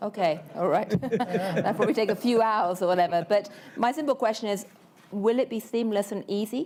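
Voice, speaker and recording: A woman speaks with a British accent at a fairly high pitch. Her pace is moderate and her pitch variation ordinary. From UK. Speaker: panel moderator, journalist. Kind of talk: moderated panel discussion.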